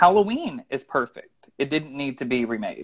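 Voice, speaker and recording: Against a quiet background, a man with a Southern US accent speaks at a moderate pace and a fairly high pitch. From US Midwest/South, southeast Missouri. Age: 30s. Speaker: screenwriter; interview guest. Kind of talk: casual interview. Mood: friendly, animated. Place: home room. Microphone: video call.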